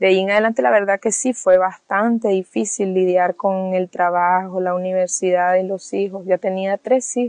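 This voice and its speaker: A woman at a medium pitch speaks with hardly any pauses. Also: ordinary pitch variation, moderate pace, dry, close sound with no echo. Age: 30s. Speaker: single mother and beautician. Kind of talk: personal testimony. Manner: hesitant, with frequent fillers.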